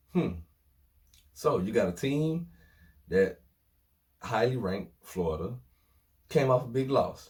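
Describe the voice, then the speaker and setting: A man at a medium pitch speaks fairly slowly with long, frequent pauses, his pitch swinging very widely in an animated, somewhat breathy tone. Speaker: sports vlogger. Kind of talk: casual sports commentary vlog.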